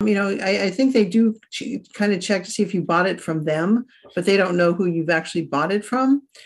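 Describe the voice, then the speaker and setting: Speaking at a fairly quick clip, a woman uses an unremarkable speaking voice with ordinary pitch variation. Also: medium pitch for a woman. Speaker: writer, podcast co-host. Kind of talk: casual chat.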